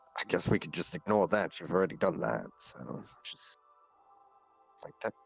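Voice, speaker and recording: Over music in the background, a man puts on a raspy character voice at a very deep, low pitch and a moderate pace. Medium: game stream. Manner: formal, measured, polite.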